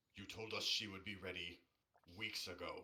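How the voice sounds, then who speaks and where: Putting on a character voice, a man sounds raspy at a moderate pace. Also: fairly low pitch for a man. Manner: angry, yelling.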